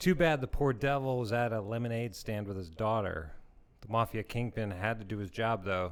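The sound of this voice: This unforced reading voice shows ordinary pitch variation.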